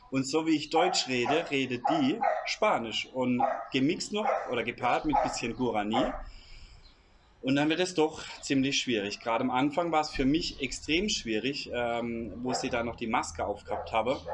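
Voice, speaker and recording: A man speaks at a medium pitch with lively intonation. Noticeable background noise runs behind him. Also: moderate pace. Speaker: emigrant vlogger. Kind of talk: casual Q&A chat.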